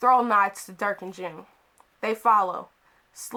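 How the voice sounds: Someone reads aloud in a natural-sounding voice.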